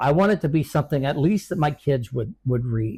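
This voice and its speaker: In a very clean recording with a silent background, a man speaks in a fairly high, somewhat breathy voice. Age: 70s. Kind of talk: interview. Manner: halting.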